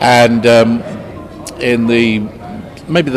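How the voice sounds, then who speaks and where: A British-accented man talks at a very slow pace. Noticeable background noise runs underneath. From London, England. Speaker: actor. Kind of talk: interview. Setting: convention interview. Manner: hesitant, many filler sounds.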